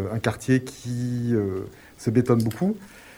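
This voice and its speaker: With a dark, mellow tone, this man's voice sits at a medium pitch. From Grenoble, France. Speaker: community project proposer. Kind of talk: radio interview.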